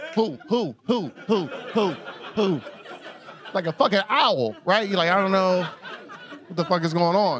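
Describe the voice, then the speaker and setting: A man with an American accent speaks in an animated tone, high-pitched for a man, with lively intonation, at a fairly slow pace with long, frequent pauses. The sound is dry with no echo, over light background noise. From US South, Atlanta, Georgia. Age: 30s. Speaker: stand-up comedian. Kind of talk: raunchy stand-up comedy set before a live club crowd. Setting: comedy club stage with audience. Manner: loose, animated storytelling punctuated by his own laughter; exaggerated shrieks and mock voices when acting out women. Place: stage. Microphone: handheld.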